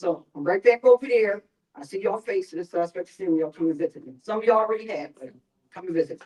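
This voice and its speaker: Talking at a very fast pace in an animated tone, a woman with a Philadelphia accent comes through with a dry, close sound and no echo. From North Philadelphia. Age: old. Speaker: mental health outreach worker. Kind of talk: town hall presentation. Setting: church town hall with audience.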